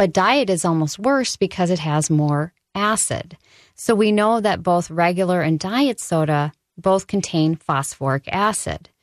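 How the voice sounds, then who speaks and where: Here a woman uses a plain, everyday voice, fairly low in pitch, with lively intonation at a fairly slow pace. The recording is very clean with a silent background and a dry, close sound with no echo. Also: very even loudness. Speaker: nutrition educator and dental assistant. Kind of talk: radio interview. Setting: studio.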